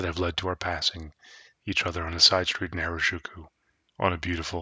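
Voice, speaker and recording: A man speaks at a fairly quick pace in a very deep, low voice. His tone is soothing, his intonation monotone and flat. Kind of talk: ASMR story reading, sleep story. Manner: soft-spoken, soothing.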